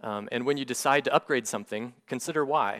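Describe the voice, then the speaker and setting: Recorded very cleanly against a silent background, a man with a plain, everyday voice speaks at medium pitch with ordinary pitch variation and a dry, close sound with no echo. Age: 40s. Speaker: church deacon and finance teacher. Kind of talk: lecture. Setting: church men's meeting with audience.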